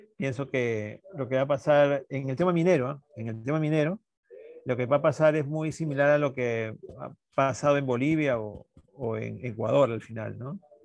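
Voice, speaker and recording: Moderate pace and ordinary pitch variation. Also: man, medium pitch for a man. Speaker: NGO director, mining activist. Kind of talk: panel discussion. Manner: halting, many fillers.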